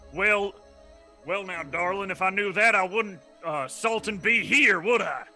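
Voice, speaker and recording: Faint music plays in the background. A man uses a gruff, put-on character voice, high in pitch, at a moderate pace. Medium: actual play. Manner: gruff, salty, folksy.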